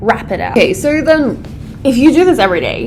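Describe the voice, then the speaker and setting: A very fast, animated woman's voice with very wide pitch swings, audible room echo and noticeable background noise. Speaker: English essay tutor. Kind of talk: tutorial.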